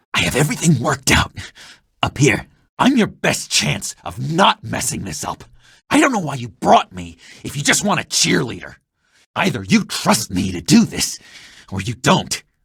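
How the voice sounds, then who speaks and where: Doing a cartoonish character voice, a man speaks at a moderate pace from a medium pitch, with very wide pitch swings and big swings in loudness. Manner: erratic, swings between eager and bitter.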